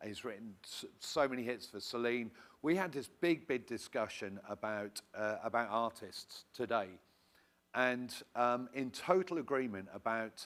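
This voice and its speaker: A man with a British accent, medium pitch, a fairly slow pace and ordinary pitch variation. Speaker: songwriting academy representative. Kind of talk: audience comment at workshop.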